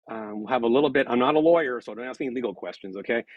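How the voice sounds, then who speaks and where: Talking very fast, a man keeps his pitch variation ordinary. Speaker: political science professor. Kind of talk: lecture. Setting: video call.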